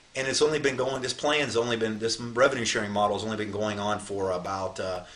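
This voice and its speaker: A man's voice at medium pitch, ordinary in its pitch variation, at a fairly quick pace against noticeable background noise. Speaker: network marketing leader. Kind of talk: sales pitch. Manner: fast; animated.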